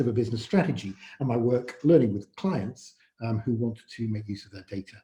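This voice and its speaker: With a Yorkshire accent, the speaker talks at a fairly quick pace in a somewhat breathy voice with a dark, mellow tone. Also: man. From northern England, Yorkshire. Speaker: AI consultant, event speaker. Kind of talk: presentation talk. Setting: virtual event, online presentation. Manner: halting, many filler words.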